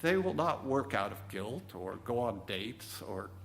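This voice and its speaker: A somewhat breathy voice speaks at a fairly slow pace with lively intonation, with audible room echo. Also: man. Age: 60s. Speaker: minister. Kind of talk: sermon. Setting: church.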